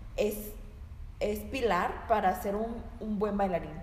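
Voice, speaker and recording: Speaking at a very slow pace, a woman with a medium pitch is heard over noticeable background noise and audible room echo. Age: 20s. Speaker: dancer and nutrition student. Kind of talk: casual chat.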